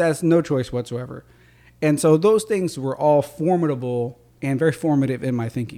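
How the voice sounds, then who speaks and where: A man speaks at a fairly high pitch in a dark, mellow tone, with ordinary pitch variation. His pace is moderate, and the recording is very clean with a silent background. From rural Louisiana. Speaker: state legislator. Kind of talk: interview.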